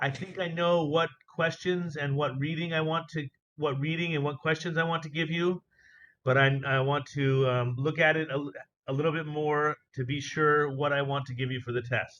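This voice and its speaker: A man's voice, fairly high in pitch, with fairly even intonation. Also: moderate pace. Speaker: teacher. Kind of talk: online class. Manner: loud.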